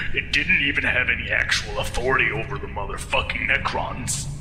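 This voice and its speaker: A man's put-on character voice at a fairly quick pace, against loud background noise. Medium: machinima.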